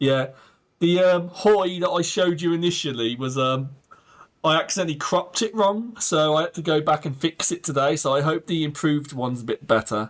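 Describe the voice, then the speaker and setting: A man talks at a fairly quick pace in an English accent. His pitch is fairly high, with ordinary pitch variation. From Britain. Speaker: streamer. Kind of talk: live gameplay commentary. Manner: animated.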